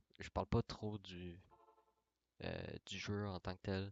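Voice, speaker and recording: A man speaks in a very deep, low pitch with monotone, flat intonation, in a dry, close sound with no echo. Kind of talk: casual talk about gaming channel. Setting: mic very close to mouth.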